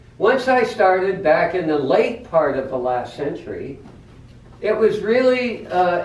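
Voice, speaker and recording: The voice is loud and moves at a fairly slow pace with very wide pitch swings. Room echo is audible. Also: man. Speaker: Toastmasters speaker, former boat captain turned teacher. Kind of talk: prepared speech. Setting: club meeting in a coffee house. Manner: loud, projecting.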